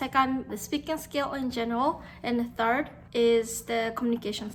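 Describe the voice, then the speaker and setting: With a Japanese accent, a woman talks at a moderate pace in a high pitch. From Japan, Nagasaki. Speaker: Japanese tutor and language YouTuber. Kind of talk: casual talk to camera. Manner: casual, filler-heavy.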